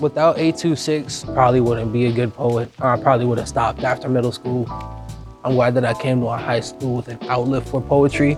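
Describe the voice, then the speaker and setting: With music playing behind, the speaker talks at a fairly quick pace in a fairly even intonation. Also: man, medium pitch for a man. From Boston, Dorchester. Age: young. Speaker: slam poet. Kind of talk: interview answer. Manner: casual.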